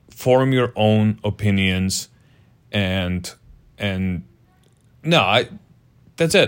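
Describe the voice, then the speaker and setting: Speaking with a non-native accent, a man uses a fairly low pitch and ordinary pitch variation. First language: not English. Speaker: podcast co-host. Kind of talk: casual banter.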